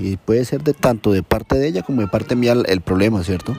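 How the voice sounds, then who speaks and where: Speaking at a very fast pace, a man has a dark, mellow tone and ordinary pitch variation. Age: 30s. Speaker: personal storyteller. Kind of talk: personal testimony.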